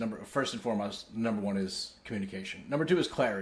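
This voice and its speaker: With a New York accent and a medium pitch, a man speaks at a fairly quick pace amid audible room echo. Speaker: company executive. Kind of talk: town hall address. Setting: company town hall.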